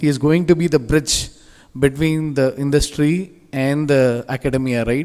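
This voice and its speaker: A man speaks in a fairly high pitch with a Telugu accent. His pace is fairly slow. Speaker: industry guest speaker. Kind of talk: motivational speech. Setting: stage with audience. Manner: animated.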